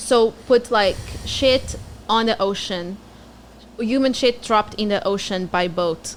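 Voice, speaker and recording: A woman's fairly high, animated voice with a Portuguese accent, a fairly slow pace, ordinary pitch variation and long, frequent pauses. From Portugal. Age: 20s. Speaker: comedian. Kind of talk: casual chat.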